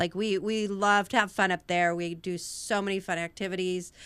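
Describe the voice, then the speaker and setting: A woman with an American accent speaks at a moderate pace and medium pitch, her intonation monotone and flat. The recording is very clean, with a silent background. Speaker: nonprofit founder and teacher. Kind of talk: casual chat.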